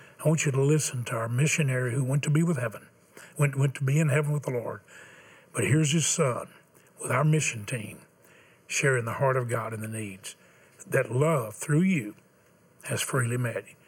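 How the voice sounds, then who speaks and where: Pausing long and often, a man talks in a somewhat breathy voice with ordinary pitch variation. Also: medium pitch for a man, moderate pace. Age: 70s. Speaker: televangelist host. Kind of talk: fundraising appeal. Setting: tv studio.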